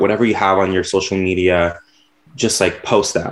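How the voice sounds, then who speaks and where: Speaking at a moderate speed, the man uses a normal speaking voice pitched fairly low. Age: 20s. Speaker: graphic designer and podcaster. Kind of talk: casual interview.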